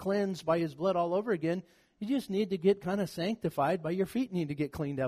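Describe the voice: Someone does plain reading aloud. The pitch moves in an ordinary way.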